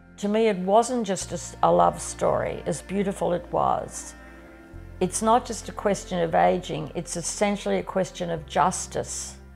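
A woman with an Australian accent talks over faint music in the background. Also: moderate pace. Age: 70s. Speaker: farmer. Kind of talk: documentary interview answer. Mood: passionate, defiant. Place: home room.

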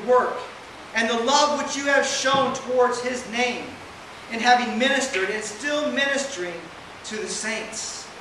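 Against noticeable background noise and audible room echo, a man speaks at a fairly slow pace with an extremely high pitch and fairly even intonation. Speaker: preacher delivering a lesson. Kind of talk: sermon. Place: hall.

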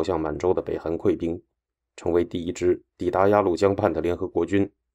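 Against a quiet background, a man with a very deep, low pitch and a dark, mellow tone speaks at a moderate pace in a serious, dramatic tone with monotone, flat intonation. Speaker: radio host and history narrator. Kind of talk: history documentary narration, scripted and read aloud. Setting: studio. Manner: formal, steady and measured, grave broadcast delivery that builds tension; even, newsreader-like pace, serious tone, briefly dramatic at battle turning points.

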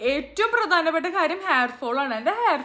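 A woman with lively intonation speaks in a raised, projected voice. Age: 20s. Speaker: YouTuber. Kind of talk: hair care vlog tutorial. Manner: casual, halting.

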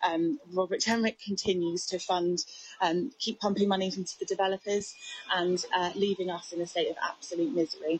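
A woman at a moderate pace with ordinary pitch variation, a dry sound with no echo and light background noise. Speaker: news interviewee. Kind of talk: interview answer.

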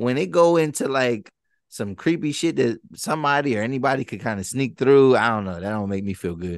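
Against a quiet background, a man speaks fairly quickly with lively intonation in a dry sound with no echo. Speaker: podcast host. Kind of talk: casual podcast recap chat. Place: studio. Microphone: studio mic.

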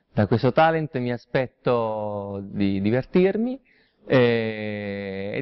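Ordinary pitch variation carries a very slow delivery over a quiet background. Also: man. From Calabria, southern Italy. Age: 30s. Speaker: showman, impersonator and singer. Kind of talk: talent show contestant interview. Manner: halting, with fillers. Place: studio.

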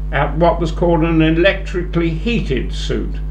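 Over music in the background, someone speaks fairly slowly in a British accent with monotone, flat intonation. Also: man. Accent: older British English. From England. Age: 80s+. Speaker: war veteran. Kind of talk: elderly airman recounting wartime memories to students, reflective interview answers. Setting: school interview and assembly. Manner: halting, full of ums and repeated words; measured, understated, matter-of-fact about grim events. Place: meeting room. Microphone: handheld.

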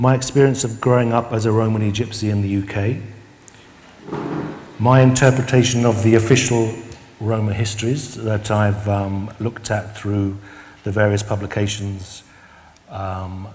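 A man with a British accent speaks slowly at fairly low pitch, with long, frequent pauses. His intonation is fairly even, over light background noise. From UK. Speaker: Roma artist and researcher. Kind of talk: lecture. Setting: stage with audience. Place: stage.

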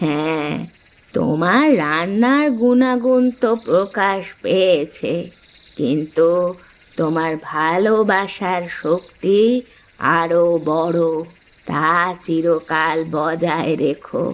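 A cartoonish character voice at a middle pitch drags along at a very slow pace. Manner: knowing, amused.

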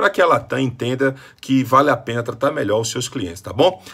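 Against a quiet background, a man talks. His pace is very fast. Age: 40s. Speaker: motivational speaker. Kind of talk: complaint vlog. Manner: animated. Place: home room. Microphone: phone near.

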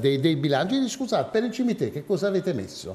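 With very wide pitch swings, a man speaks in a dark, mellow tone. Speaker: TV talk show host; guest, local politician. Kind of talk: moderated political debate. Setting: TV studio. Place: studio. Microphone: lapel.

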